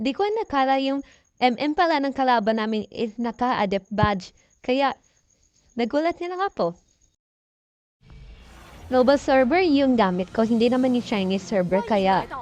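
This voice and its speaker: A woman's high voice swings very widely in pitch. She moves at a moderate pace with long, frequent pauses. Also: quiet background. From Philippines. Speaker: mobile game player. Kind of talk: gameplay commentary voice-over.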